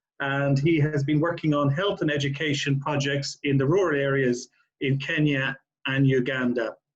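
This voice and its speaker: A somewhat breathy man's voice in an Irish accent, fairly high in pitch, monotone and flat, at a fairly slow pace. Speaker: charity CEO chairing a panel. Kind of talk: panel moderation. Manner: halting, many fillers.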